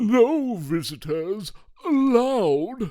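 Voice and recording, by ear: Putting on a character voice with a dark, mellow tone, a man speaks at a high pitch and a very slow pace, with big pitch swings.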